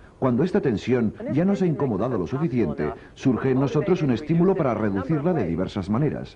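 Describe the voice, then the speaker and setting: Over noticeable background noise, a man talks with hardly any pauses. His pitch sits in the medium range but swings very widely. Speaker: documentary narrator. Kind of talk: scripted documentary narration. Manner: formal, measured.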